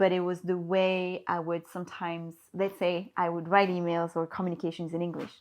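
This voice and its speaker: A woman's fairly low voice with a French accent, fairly quick in pace, her intonation monotone and flat. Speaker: HR and recruitment professional. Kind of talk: podcast interview.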